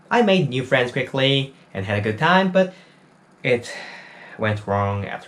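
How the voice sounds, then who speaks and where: Through noticeable background noise, a man speaks at a very slow pace with very wide pitch swings. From South Korea. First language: Korean. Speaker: university student and small YouTuber. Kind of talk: personal testimony. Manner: non-native, somewhat halting English.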